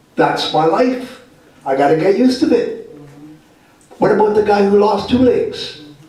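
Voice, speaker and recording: Noticeable background noise and audible room echo accompany a man speaking at a moderate pace with a Canadian accent. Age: 60s. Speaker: health and homelessness advocate, guest speaker. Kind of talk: talk to a live audience. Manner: casual, plain-spoken.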